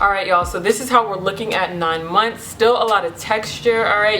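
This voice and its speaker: Medium-pitched woman's voice amid noticeable background noise and audible room echo. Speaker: beauty vlogger. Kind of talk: casual vlog. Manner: animated; loud.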